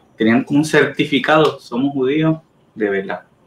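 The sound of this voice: At a moderate pace, a man speaks in a medium pitch with ordinary variation and a slightly husky edge.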